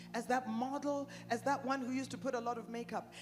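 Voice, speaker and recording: A woman with an American accent talks at a fairly quick pace. Music plays in the background. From Canada and the United States. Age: 60s. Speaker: preacher. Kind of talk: sermon. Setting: conference tent with audience.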